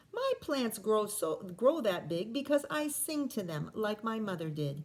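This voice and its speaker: Using a put-on character voice, a woman talks at a moderate pace with a fairly high pitch. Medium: read story. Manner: warm, gentle.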